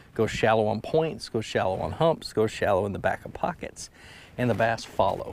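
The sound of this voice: This man speaks at a moderate pace with a fairly low pitch, lively intonation and vocal fry.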